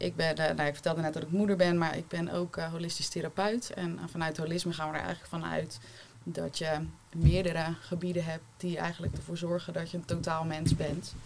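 A woman talks at a fairly quick pace in a fairly low pitch, with fairly even intonation. It is an ordinary speaking voice. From Rotterdam-Zuid, Netherlands. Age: 30s. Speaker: holistic therapist. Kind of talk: panel discussion.

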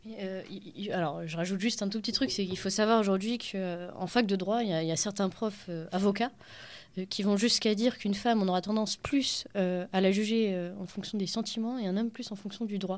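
A woman's plain, everyday voice at medium pitch, with fairly even intonation, on a very clean recording with a silent background. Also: fairly quick pace. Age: 20s. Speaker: feminist collective activist, social worker. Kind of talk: radio interview.

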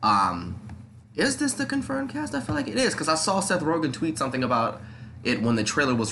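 In a room with audible echo, a man speaks at a fairly quick pace with lively intonation. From New York, the Bronx. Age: 20s. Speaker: podcast host. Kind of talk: casual chat. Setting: home studio.

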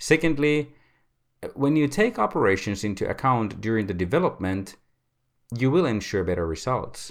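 On a very clean recording with a silent background, a man with a Finnish accent speaks at a moderate pace and medium pitch, with very wide pitch swings and long, frequent pauses. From Finland. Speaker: podcast host. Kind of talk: semi-scripted solo podcast talk.

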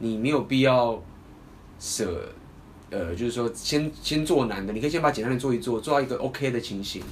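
In a Taiwanese accent, a man talks at a moderate pace with medium pitch and ordinary pitch variation. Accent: Taiwanese Mandarin. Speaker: dating coach and podcast host. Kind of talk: casual chat.

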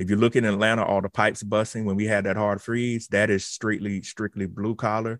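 In a Southern US accent, a man talks at a fairly quick pace with hardly any pauses, fairly low in pitch and monotone, flat in intonation, on a very clean recording with a silent background. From South Carolina. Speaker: automation researcher. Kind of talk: radio interview.

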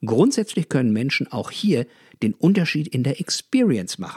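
A man with a fairly high pitch and very wide pitch swings, at a moderate pace, in a very clean recording with a silent background and a dry, close sound with no echo. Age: 40s. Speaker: customer management educator. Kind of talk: scripted monologue.

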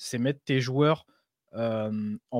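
The recording is very clean, with a silent background and a dry, close sound with no echo. A man speaks at a fairly slow pace with fairly even intonation. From Europe. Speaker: podcast co-host. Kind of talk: casual chat.

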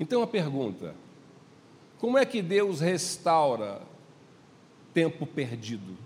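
Speaking at a very slow pace with long, frequent pauses, a man uses a fairly high pitch with very wide swings and vocal fry. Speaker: pastor. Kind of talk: sermon.

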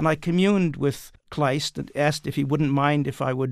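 An ordinary speaking voice with an American accent and ordinary pitch variation comes through in a dry, close sound with no echo. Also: man, very clean recording, silent background. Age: 60s. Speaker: playwright and author. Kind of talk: interview.

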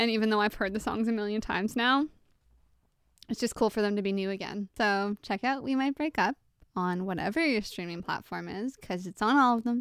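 A woman talks at a fairly quick pace with a Canadian accent, her pitch fairly high with ordinary variation. It is an ordinary speaking voice, recorded dry and close with no echo. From Ontario, Canada (small town). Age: 20s. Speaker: pop singer. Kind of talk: casual interview. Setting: remote recording.

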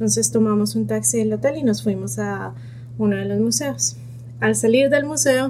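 A woman's very deep, low voice at a moderate pace, with fairly even intonation and audible room echo. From Colombia, Bogotá. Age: 30s. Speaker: pediatric neurologist. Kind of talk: personal testimony.

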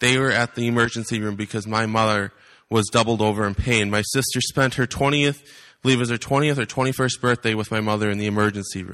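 In an American accent, a man talks very fast at a medium pitch with fairly even intonation. His tone is bright and sharp, and the background is quiet. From US Midwest, Wisconsin. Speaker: visiting preacher. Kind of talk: sermon. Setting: church.

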